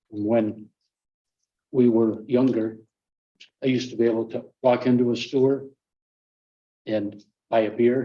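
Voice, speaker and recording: Monotone and flat in intonation, a man speaks at a fairly slow pace with long, frequent pauses. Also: medium pitch for a man. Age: 70s. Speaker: county legislator. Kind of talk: public meeting debate.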